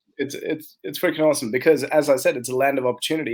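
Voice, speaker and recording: Here a man talks at a very fast pace. He has an Australian accent. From Australia, migrated from India at 10. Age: 40s. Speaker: entrepreneur. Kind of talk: podcast interview.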